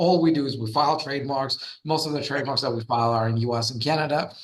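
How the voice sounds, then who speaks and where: Noticeable background noise behind a man's voice, its pitch variation ordinary. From Russia. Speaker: trademark lawyer and entrepreneur. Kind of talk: podcast interview.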